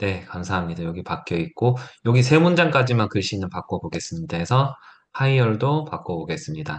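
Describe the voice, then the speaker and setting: A somewhat breathy man of medium pitch, fairly quick in pace, with very wide pitch swings. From South Korea, Gyeongsang (Gyeongju). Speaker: teacher giving a workshop. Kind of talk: tutorial.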